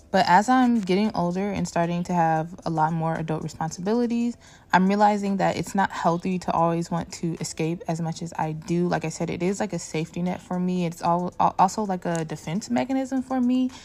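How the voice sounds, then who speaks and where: Over a silent background on a very clean recording, a woman talks fairly quickly at a fairly low pitch with ordinary pitch variation, in an unremarkable speaking voice. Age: 20s. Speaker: podcast host. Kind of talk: solo monologue.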